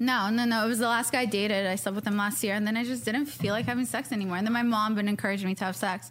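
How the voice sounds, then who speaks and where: Somewhat breathy and fairly high, a woman talks at a very fast pace with hardly any pauses, fairly even intonation and very even loudness. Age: 30s. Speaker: podcast host and social media personality. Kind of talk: casual chat.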